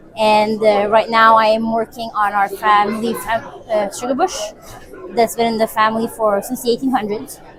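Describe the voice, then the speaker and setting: A woman's fairly high voice at a moderate pace, with fairly even intonation and crowd noise behind her. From Quebec (Saint Agathe, anglophone community). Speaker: vendor at community event. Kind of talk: casual spoken introduction.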